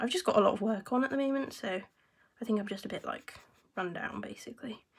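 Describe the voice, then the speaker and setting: A woman's raspy, put-on character voice, fairly high in pitch, at a very fast pace. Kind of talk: casual, chatty vlog style.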